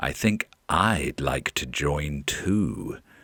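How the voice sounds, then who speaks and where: Growling in a put-on character voice, a man speaks with a very deep, low pitch and a menacing tone. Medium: read story. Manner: sly, menacing.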